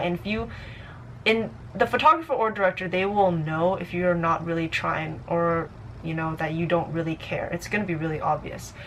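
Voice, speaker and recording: A woman at a fairly low pitch speaks at a fairly quick pace, her pitch variation ordinary, with noticeable background noise behind her. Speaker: vlogger, amateur model. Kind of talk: advice vlog. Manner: fast; casual, halting with fillers.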